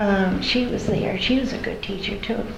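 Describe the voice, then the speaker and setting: Over noticeable background noise and audible room echo, a woman with an American accent speaks with fairly even intonation. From Massachusetts, Cape Cod. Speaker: oral history interviewee. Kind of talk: oral history interview. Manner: halting.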